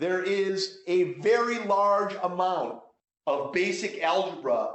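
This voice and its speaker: A loud, high male voice with fairly even intonation and audible room echo. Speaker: math instructor. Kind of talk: course orientation talk. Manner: halting, many repetitions.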